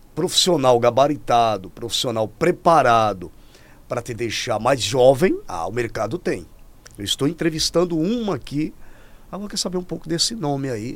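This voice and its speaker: With very wide pitch swings, a man speaks at a moderate pace in a fairly high voice. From Rio Grande do Norte, Brazil. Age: 50s. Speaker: podcast host. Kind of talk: casual interview. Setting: studio. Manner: animated.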